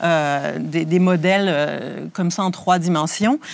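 A woman's fairly low voice at a very slow pace. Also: very clean recording, silent background. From Quebec (Rimouski). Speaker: museum conservator. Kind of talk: guided tour interview. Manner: hesitant, many fillers.

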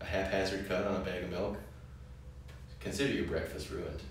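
With strong echo in the room and light background noise, a man with a very deep, low voice speaks at a fairly quick pace with ordinary pitch variation. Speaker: wine show co-host. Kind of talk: casual educational conversation. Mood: relaxed, jokey. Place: cafe.

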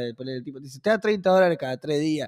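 Very wide pitch swings at a very fast pace. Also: man, quiet background. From Argentina. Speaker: podcast co-host. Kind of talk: casual chat. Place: office. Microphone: studio mic.

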